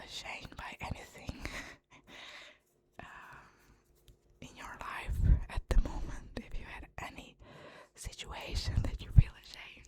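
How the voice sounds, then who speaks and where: Whispering at a fairly slow pace with long, frequent pauses, a woman swings widely in loudness against noticeable background noise. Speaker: ASMR creator. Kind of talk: whispered ASMR conversation. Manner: whispered, soft-spoken.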